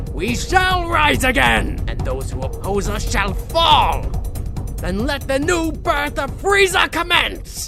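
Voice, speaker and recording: A cartoonish character voice talks at a fairly slow pace with clear music playing in the background. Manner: menacing, gloating.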